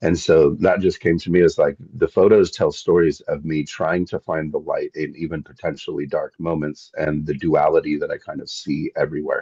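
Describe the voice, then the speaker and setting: A man with a Pacific Northwest accent speaks with hardly any pauses. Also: moderate pace. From Seattle, Washington State, US. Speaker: landscape photographer and wilderness tour guide. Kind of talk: casual interview.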